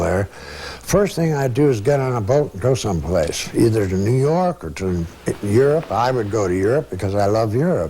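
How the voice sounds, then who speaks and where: A man speaks at a moderate pace with very wide pitch swings, over noticeable background noise. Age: 70s. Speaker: painter. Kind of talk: interview. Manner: casual.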